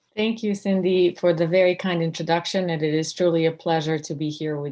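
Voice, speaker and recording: A woman with a slight Serbian accent speaks fairly quickly in a dark, mellow tone, her fairly low pitch held in fairly even intonation. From Serbia, former Yugoslavia. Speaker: law professor. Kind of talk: interview. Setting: video call.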